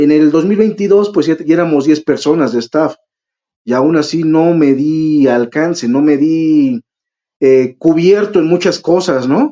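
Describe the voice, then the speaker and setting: A man with a Mexican accent talks at a fairly high pitch with ordinary pitch variation. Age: 30s. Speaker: event organizer. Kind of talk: interview.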